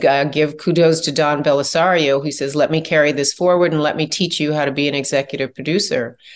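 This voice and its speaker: Against a quiet background, a woman with an American accent speaks in a very deep, low voice with fairly even intonation. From US Midwest, Chicago. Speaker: TV producer and director. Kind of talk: interview.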